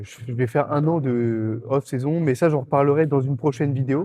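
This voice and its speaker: His intonation holds fairly even. A man delivers his words at a moderate speed. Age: 20s. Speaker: bodybuilding competitor and vlogger. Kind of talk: casual gym vlog. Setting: gym. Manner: casual, hesitant with fillers.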